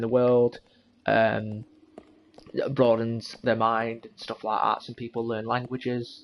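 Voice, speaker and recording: Over noticeable background noise, a man with an English accent speaks in a monotone, flat intonation. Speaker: gaming YouTuber. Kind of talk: let's play commentary. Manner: loud; halting.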